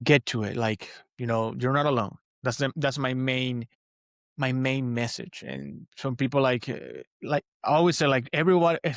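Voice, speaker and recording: Speaking at a moderate pace with a Spanish accent and fairly even intonation, a man is captured in a very clean recording with a silent background and a dry, close sound with no echo. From Venezuela. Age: 30s. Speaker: podcaster and motivational coach. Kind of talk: interview conversation. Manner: halting, many fillers and repeats.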